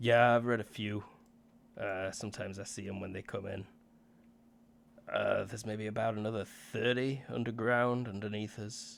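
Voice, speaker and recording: A man puts on a raspy character voice, fairly low in pitch, at a moderate pace. His intonation is monotone and flat, with long, frequent pauses. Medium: actual play. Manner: casual, hesitant, full of fillers.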